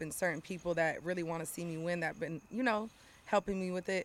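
A fairly low-pitched woman's voice with an American accent, at a very fast pace. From Southern California. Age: 30s. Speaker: model and rapper. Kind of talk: casual chat.

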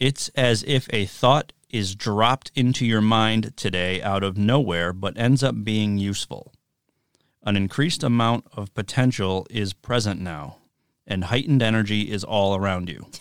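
A man with an ordinary speaking voice talks at a moderate pace and a fairly low pitch with ordinary pitch variation. The recording is very clean and silent in the background, with a dry, close sound and no echo. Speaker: podcast co-host. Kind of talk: casual banter podcast chat.

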